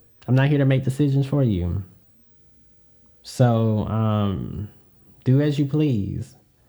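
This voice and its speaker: A man's dark, mellow tone with a Southern US accent, ordinary pitch variation, a very slow pace and long, frequent pauses. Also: medium pitch for a man, very even loudness. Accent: Southern US, sounds very country. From US Deep South. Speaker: podcast host. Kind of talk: solo podcast monologue. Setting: home podcast setup hearing own voice. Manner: casual, filler-heavy with frequent 'um'.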